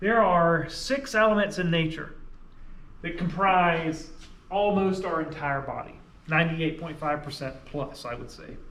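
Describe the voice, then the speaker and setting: A man's fairly slow, fairly high-pitched voice with a slight Southern US accent and audible room echo. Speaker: science teacher. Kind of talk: lecture. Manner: conversational, explanatory.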